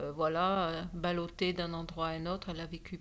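A woman with a fairly low pitch speaks very slowly in a monotone, flat intonation. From Cameroon and Morocco childhood, raised Biarritz. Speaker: surf champion and charity president. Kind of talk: interview. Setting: at her home.

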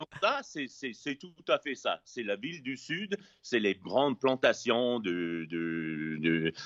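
In an English accent, a man with a fairly low pitch speaks at a very slow pace, with lively intonation. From US West Coast, Los Angeles. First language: English (speaking French). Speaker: chef. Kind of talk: casual interview. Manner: halting, many repetitions.

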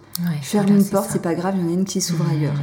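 A woman speaks at a fairly low pitch with fairly even intonation. Her voice is somewhat breathy. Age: 30s. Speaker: tarot reader and fortune teller on video platform. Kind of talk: casual interview.

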